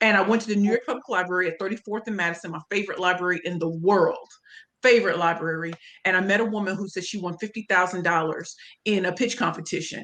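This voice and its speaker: A woman talks very fast in a St. Louis accent. Her tone is animated. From US Midwest, St. Louis, Missouri. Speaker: pitch coach and speaker. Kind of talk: interview.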